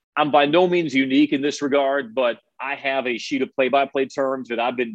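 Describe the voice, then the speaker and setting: A man speaks at a fairly quick pace in an ordinary speaking voice, his pitch medium. His intonation stays fairly even. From Chicago suburbs. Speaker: college sports radio play-by-play broadcaster. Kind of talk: casual interview.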